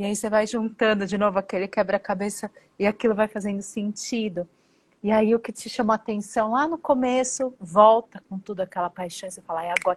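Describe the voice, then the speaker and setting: A woman speaks quite quickly in a somewhat breathy voice with fairly high pitch. Her intonation stays fairly even while her loudness swings a lot. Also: dry, close sound with no echo. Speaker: podcast co-host. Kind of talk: casual interview.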